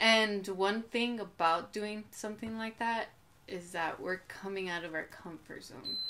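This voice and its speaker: An unremarkable speaking voice, this woman talks at a fairly slow pace and medium pitch with an American accent and fairly even intonation, with light background noise behind her. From Coachella Valley, California; California. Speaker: artist and fashion designer. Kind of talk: casual chat. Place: home room.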